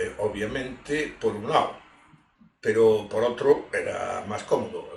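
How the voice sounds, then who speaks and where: Speech at a very slow pace carries audible room echo. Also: man. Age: 60s. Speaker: industrial engineer. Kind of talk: interview.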